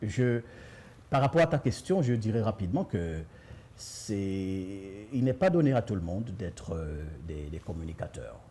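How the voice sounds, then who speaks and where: A man speaks at a fairly slow pace with long, frequent pauses, his fairly low voice somewhat breathy and dark, mellow in tone. His pitch moves in very wide swings. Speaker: author and communication trainer. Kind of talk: interview. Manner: halting, repeats words.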